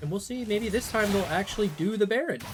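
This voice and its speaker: Over music in the background, a woman speaks at a medium pitch. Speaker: esports caster. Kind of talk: live commentary. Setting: live stream broadcast. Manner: animated.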